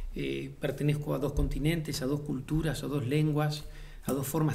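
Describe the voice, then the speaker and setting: Over audible room echo, a man speaks at a moderate pace in a flat monotone, his fairly high voice dark, mellow and somewhat breathy. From Uruguay, Montevideo. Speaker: playwright and theatre director. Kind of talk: interview monologue. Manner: thoughtful, frequent hesitations and repetitions.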